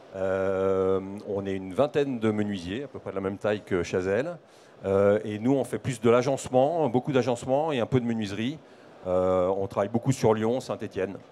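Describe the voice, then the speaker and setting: With a dark, mellow tone and fairly low pitch, a man speaks at a moderate pace with ordinary pitch variation. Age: 50s. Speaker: business owner. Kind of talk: panel interview. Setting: trade fair set. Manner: hesitant fillers.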